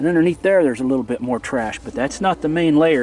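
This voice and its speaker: An ordinary speaking voice from a man, fairly high in pitch, at a fairly quick pace. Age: 60s. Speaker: bottle digging video maker. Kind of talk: casual vlog narration. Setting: outdoors, digging at a dump. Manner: relaxed, with fillers.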